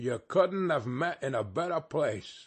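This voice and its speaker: A man puts on a raspy character voice at a fairly high pitch. He goes at a fairly slow pace with lively intonation. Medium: read story. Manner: wheezy, chuckling, cockney.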